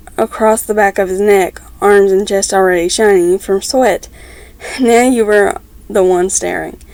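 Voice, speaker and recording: A woman takes her time, talking at a fairly slow pace while background noise stays noticeable. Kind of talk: fan fiction reading. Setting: at home with background noise. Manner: stumbles over words, stuttering.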